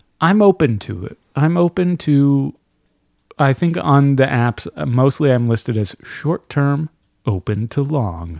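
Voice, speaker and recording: Using a normal speaking voice, a man talks at a fairly high pitch with lively intonation, recorded with a dry, close sound and no echo. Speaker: voice actor and audiobook narrator. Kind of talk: casual chat.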